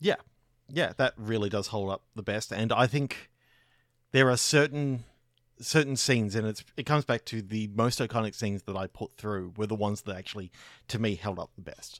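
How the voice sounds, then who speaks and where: A man's medium-pitched voice with an Australian accent, ordinary pitch variation and a moderate pace, on a very clean, dry, close recording with no echo and a silent background. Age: 40s. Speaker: podcaster. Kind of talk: casual chat.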